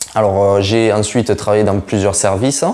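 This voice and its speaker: A man with a plain, everyday voice talks at a moderate pace, fairly low in pitch, with fairly even intonation. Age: 20s. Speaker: nurse and food vlogger. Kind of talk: casual self-introduction vlog. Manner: casual, with many fillers.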